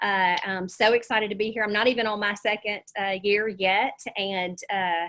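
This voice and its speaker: A woman with a Southern US accent speaks at a moderate pace in a medium-pitched, bright, sharp voice with monotone, flat intonation. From US South. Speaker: real estate agent and coach. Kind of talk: webinar presentation.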